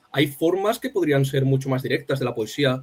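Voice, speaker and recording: A man with a fairly high pitch at a very fast pace. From Spain, Alicante. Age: young. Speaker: poet. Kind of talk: interview conversation. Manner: halting.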